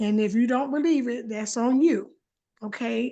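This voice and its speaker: At a moderate pace, a woman with a fairly high pitch talks over a quiet background. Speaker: participant sharing testimony. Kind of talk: testimony. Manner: loud.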